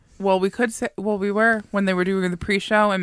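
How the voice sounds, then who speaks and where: A woman talks at a very fast pace. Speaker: wrestling podcast co-host. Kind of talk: casual chat. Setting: studio. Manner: excitable.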